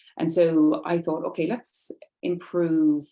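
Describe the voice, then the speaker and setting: In an Irish accent, a woman speaks with a dark, mellow tone. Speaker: nurse specialist presenting research. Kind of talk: webinar presentation. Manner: fast.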